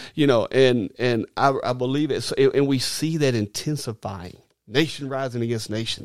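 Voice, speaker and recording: In a very clean recording with a silent background, a man with an Arkansas accent speaks at a medium pitch with fairly even intonation. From Arkansas, US South. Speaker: minister. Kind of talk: casual chat. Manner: halting.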